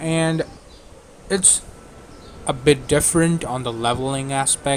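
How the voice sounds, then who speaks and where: Against noticeable background noise, a man talks at a fairly slow pace with fairly even intonation. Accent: non-native. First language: not English. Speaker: gaming YouTuber. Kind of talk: game mod review. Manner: halting.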